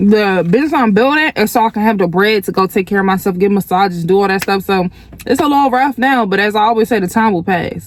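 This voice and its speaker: Over noticeable background noise, a woman speaks at a very fast pace with very even loudness and ordinary pitch variation. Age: 20s. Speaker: lifestyle vlogger. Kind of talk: casual vlog talk to camera.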